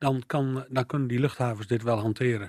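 A man talks at a moderate pace with a medium pitch. He has a plain, everyday voice. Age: 60s. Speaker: local politician. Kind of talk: radio interview.

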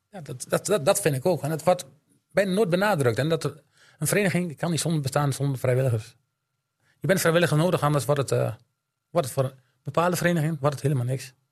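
A man's fairly high, somewhat breathy voice at a very fast pace, with ordinary pitch variation and long, frequent pauses. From Drenthe, Netherlands (Elim). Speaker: amateur football coach and snack bar owner. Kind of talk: casual chat.

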